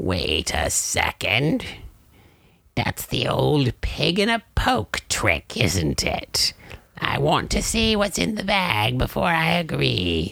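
A man does a put-on character voice at a very slow pace. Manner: cackling, greedy, mock-archaic menace.

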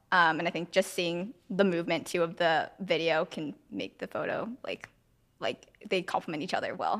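Here is a plain, everyday voice from a woman. Her pace is moderate, with ordinary pitch variation. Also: fairly low pitch for a woman. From San Francisco, US. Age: 20s. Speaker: photographer. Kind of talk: interview.

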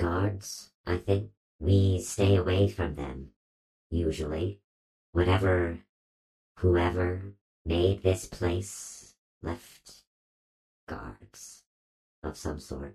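A man in a put-on character voice speaks very slowly at a very deep, low pitch with fairly even intonation and long, frequent pauses. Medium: actual play. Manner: slow, terse, formal.

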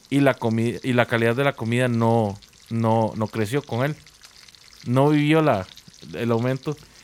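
The speech moves at a fairly slow pace with ordinary pitch variation and long, frequent pauses, and the sound is dry and close with no echo but has noticeable background noise. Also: man, medium pitch for a man. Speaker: podcast host. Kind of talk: casual chat.

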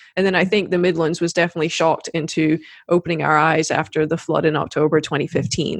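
With an American accent, the speaker uses a monotone, flat intonation and vocal fry at a fairly quick pace. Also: woman. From South Carolina. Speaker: podcast host. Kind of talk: interview. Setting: remote video call.

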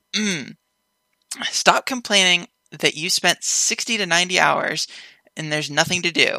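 A normal speaking voice at a fairly slow pace, with ordinary pitch variation and a dry, close sound with no echo. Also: woman. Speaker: podcast guest. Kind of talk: casual chat. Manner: laughs often.

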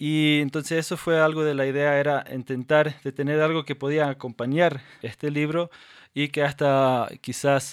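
A man's fairly high pitch and monotone, flat intonation at a moderate pace, on a very clean recording with a silent background. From Paraguayan Chaco, Mennonite of North American descent. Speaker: podcast co-host. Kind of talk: casual chat. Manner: halting, many repetitions and fillers.

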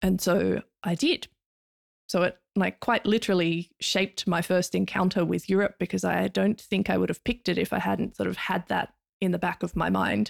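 The sound is dry and close with no echo as a woman with an Australian accent speaks at a very even loudness. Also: moderate pace. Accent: mild Australian. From Tasmania, Australia. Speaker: academic. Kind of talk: casual interview chat.

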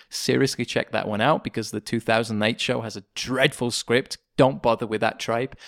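Recorded very cleanly against a silent background, a man speaks at a fairly quick pace and medium pitch, with a dry, close sound and no echo. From England. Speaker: composer and podcast producer. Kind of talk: casual chat. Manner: animated.

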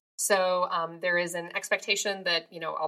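On a very clean recording with a silent background, a woman with an American accent speaks in a bright, sharp tone. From Minnesota, US Midwest. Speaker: psychology professor and podcast co-host. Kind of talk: casual chat.

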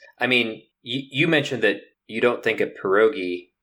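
The background is silent and the recording very clean. A man talks. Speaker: podcast guest. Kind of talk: casual chat.

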